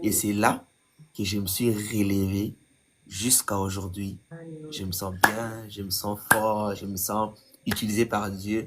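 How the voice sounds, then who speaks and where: A man with a fairly low pitch speaks at a very slow pace in a monotone, flat intonation. Long, frequent pauses break his speech, and his loudness swings widely. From DR Congo. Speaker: gospel singer. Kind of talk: testimony.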